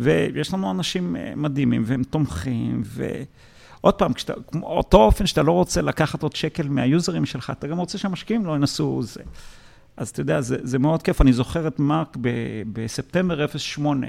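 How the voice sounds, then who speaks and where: On a very clean recording with a silent background, the voice shows vocal fry and very wide pitch swings at a moderate pace. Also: man, fairly high pitch for a man. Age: 40s. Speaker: tech entrepreneur and investor. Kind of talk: interview. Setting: office. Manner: halting, many repetitions.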